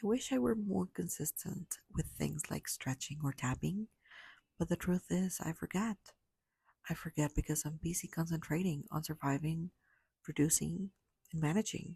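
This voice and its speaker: A calm woman's voice, fairly low in pitch, with a dark, mellow tone and vocal fry, at a moderate pace with long, frequent pauses and ordinary pitch variation, in a dry, close sound with no echo. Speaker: podcast host working late shifts and several jobs. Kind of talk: reflective solo podcast monologue, honest talk to the listener. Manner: quiet, soft-spoken, calm, intimate, sometimes whispered.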